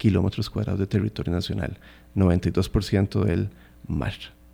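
A man speaks at a fairly slow pace with a fairly low pitch. His tone is dark and mellow, with vocal fry. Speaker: marine park conservation official. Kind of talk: radio interview. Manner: halting.

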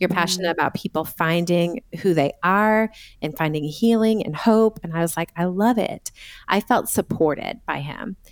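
In a normal speaking voice with an American accent, a woman talks at a moderate pace with ordinary pitch variation, recorded dry and close with no echo. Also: fairly low pitch for a woman. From US Northeast (Massachusetts). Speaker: Enneagram coach and author. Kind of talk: casual interview chat.

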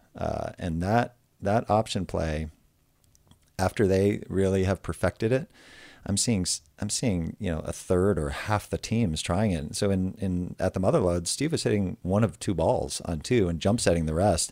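A man's mumbling in an American accent, very deep and low in pitch with a dark, mellow tone and ordinary pitch variation, in a dry, close sound with no echo on a very clean recording with a silent background. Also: moderate pace. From United States. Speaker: professional beach volleyball player. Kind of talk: casual interview chat. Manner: low talker, mumbles.

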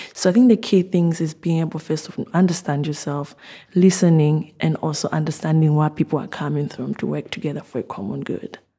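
Very deep and low in pitch, a woman with a dark, mellow, somewhat breathy tone talks at a very fast pace with ordinary pitch variation. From Zambia. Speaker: doctoral student in physiology. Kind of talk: interview reflection.

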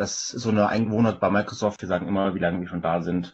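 A man talks in an ordinary speaking voice, fairly low in pitch. His pitch variation is ordinary. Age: 40s. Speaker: software company sales manager. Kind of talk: casual tech interview.

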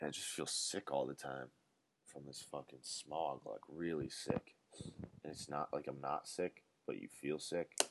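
A man's very deep, low voice with vocal fry at a fairly slow pace. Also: dry, close sound with no echo. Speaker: podcast host. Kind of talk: casual monologue. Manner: animated.

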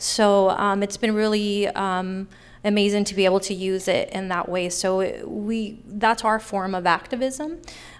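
A woman with an American accent and an unremarkable speaking voice talks at a fairly slow pace, medium in pitch with ordinary pitch variation, in a very clean recording with a silent background. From Sacramento, California (Oak Park). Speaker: arts center founder. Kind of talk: live panel Q&A. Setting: stage with audience.

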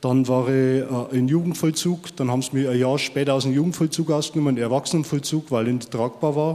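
A man with a normal speaking voice talks at medium pitch with fairly even intonation, very even loudness and hardly any pauses. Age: 50s. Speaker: former prisoner. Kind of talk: testimony.

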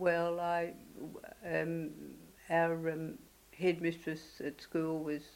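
Very slowly and with long, frequent pauses, a woman speaks at a fairly low pitch in a monotone, flat intonation with an Australian accent. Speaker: oral history interviewee. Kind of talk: elder life story. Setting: interview. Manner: halting; reflective.

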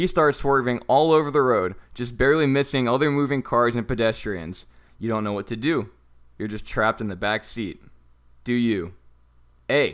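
A man with an American accent has a plain, everyday voice and ordinary pitch variation. The recording is very clean, with a silent background. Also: medium pitch for a man, moderate pace. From North Texas, US. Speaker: podcast co-host. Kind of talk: interactive story narration; casual chat.

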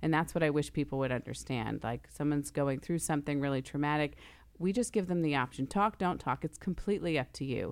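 A woman with an American accent speaks very fast in a very deep, low voice with ordinary pitch variation, recorded very cleanly against a silent background. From New York / New Jersey area. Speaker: TV news director and anchor. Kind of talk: casual chat.

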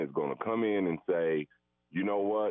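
Pitched fairly low, a man speaks at a fairly slow pace with ordinary pitch variation. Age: 60s. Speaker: caller. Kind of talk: call-in question. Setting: phone call. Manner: animated.

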